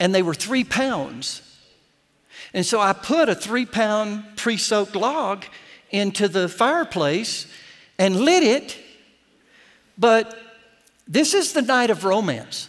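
A man with an American accent talks at a very slow pace and high pitch, with lively intonation. He pauses long and often, over a quiet background. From Florida. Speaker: pastor. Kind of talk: sermon. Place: church.

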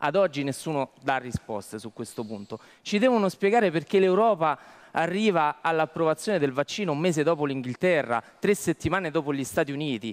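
A man talks at a fairly quick pace. His fairly high voice carries lively intonation. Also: quiet background. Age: young. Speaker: lawyer. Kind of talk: talk show discussion. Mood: critical, argumentative. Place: studio. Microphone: headset.

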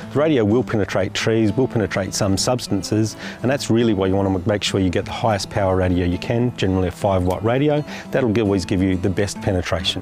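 A man talks at a very fast clip in a fairly low voice with ordinary pitch variation. Clear music plays behind him, and the sound is dry with no echo. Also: very even loudness. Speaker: presenter. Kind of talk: tutorial presentation to camera. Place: open country. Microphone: lapel.

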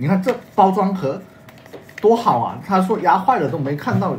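Moderate pace from a man over light background noise. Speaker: livestream co-host. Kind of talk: live-stream sales chat. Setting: livestream. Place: home room. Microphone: phone near.

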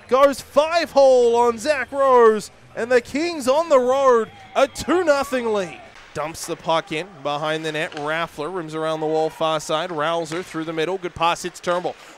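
A high-pitched man speaks at a fairly slow pace in an energetic tone with very wide pitch swings. Music plays in the background. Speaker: hockey play-by-play announcer. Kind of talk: live hockey play-by-play commentary, highlight reel. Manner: energetic, emphatic on goals.

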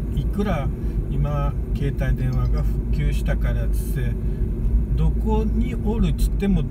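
Loud background noise fills a dry recording with no echo, where speech comes at a moderate pace. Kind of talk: casual talk to camera. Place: car. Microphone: phone near.

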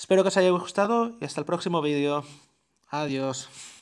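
This man has an unremarkable speaking voice with ordinary pitch variation, captured in a very clean recording over a silent background. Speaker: tech YouTuber. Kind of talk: tutorial.

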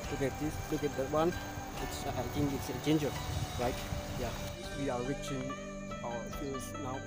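A man's voice with music in the background. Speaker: village vlogger. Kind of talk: casual vlog chat. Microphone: phone near.

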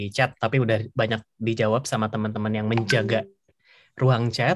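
A man speaks against a quiet background. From Indonesia. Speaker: webinar moderator, scholarship alumnus; webinar moderator. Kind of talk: casual webinar moderation. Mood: relaxed, friendly. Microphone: video call.

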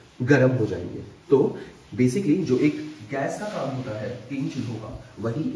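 The man's medium-pitched voice comes with audible room echo and noticeable background noise. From Delhi, India. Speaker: vlogger. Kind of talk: casual vlog.

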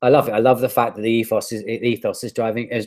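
At a very fast pace, a man speaks with a British accent. His pitch is medium, over a quiet background. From United Kingdom. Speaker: digital marketer and life coach. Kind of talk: interview answer. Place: home room. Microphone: earbuds.

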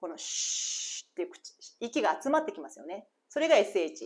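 Talking at a fairly quick pace, a woman lets her pitch swing very widely. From Japan. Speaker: English teacher. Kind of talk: reading aloud; tutorial. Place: home room. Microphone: lapel.

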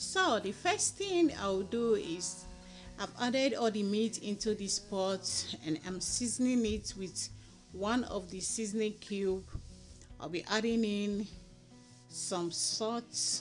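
A woman speaks at a very slow pace, leaving long, frequent pauses, with faint music in the background. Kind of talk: tutorial. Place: kitchen. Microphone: phone near.

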